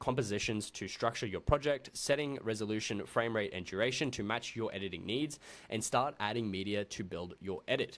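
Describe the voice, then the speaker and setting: On a very clean recording with a silent background, a man with an Australian accent talks with ordinary pitch variation. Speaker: video editing tutor. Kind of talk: tutorial. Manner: fast; casual.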